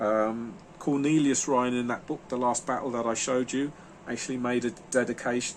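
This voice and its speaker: Here a man talks at a moderate pace. His pitch is medium and his intonation fairly even. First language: German. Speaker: book reviewer, video host. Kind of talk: casual book review monologue. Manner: halting, many fillers and repetitions.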